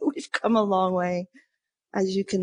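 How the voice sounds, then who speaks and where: In a dry, close sound with no echo, a woman speaks at a moderate pace and a medium pitch. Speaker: chocolate company co-founder. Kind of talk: interview answer. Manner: calm.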